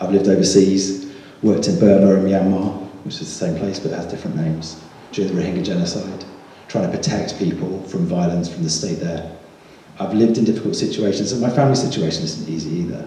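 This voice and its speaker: Over noticeable background noise and audible room echo, a man with a very deep, low pitch talks at a very fast pace with ordinary pitch variation. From southern England, Buckinghamshire. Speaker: parliamentary candidate. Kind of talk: campaign speech. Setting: village hall hustings with audience.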